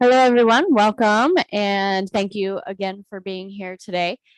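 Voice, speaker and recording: A woman talks at a moderate pace in a normal speaking voice with ordinary pitch variation. The sound is dry and close with no echo, against a quiet background. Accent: American. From Eastern Ohio. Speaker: behavioral health executive. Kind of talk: training presentation. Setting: video call from office.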